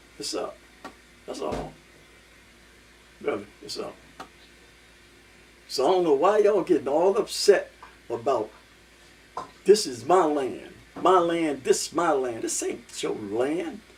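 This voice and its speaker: Against noticeable background noise, a man speaks at a fairly slow pace with long, frequent pauses and big swings in loudness. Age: 70s. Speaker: vlogger. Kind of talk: casual monologue. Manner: animated.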